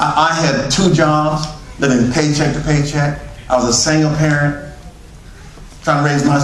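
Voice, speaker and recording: A man with a Southern US accent and a fairly high pitch talks at a moderate pace, with noticeable background noise and audible room echo. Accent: American Southern. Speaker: network marketing speaker. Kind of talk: motivational sales pitch. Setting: stage with audience.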